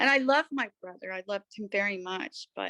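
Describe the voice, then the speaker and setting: Recorded with a dry, close sound with no echo and a quiet background, a woman has a plain, everyday voice with lively intonation. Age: 60s. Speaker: artist and writer. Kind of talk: reading aloud a personal essay; personal testimony.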